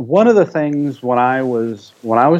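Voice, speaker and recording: With an unremarkable speaking voice, a man talks at a moderate pace using lively intonation. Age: 50s. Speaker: research biochemist. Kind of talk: interview.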